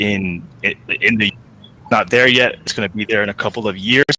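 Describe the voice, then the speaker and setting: A man's fairly low pitch with an American accent, fairly even intonation and a moderate pace. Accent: mostly American, slight Chinese. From China. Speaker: coffee startup founder. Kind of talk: panel discussion.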